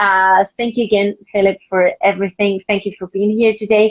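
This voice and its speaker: A woman with a Spanish accent speaks at a medium pitch and a moderate pace. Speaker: book club host for a publisher. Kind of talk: live-streamed interview conversation. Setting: Instagram live video stream. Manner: halting, frequent repetitions and fillers.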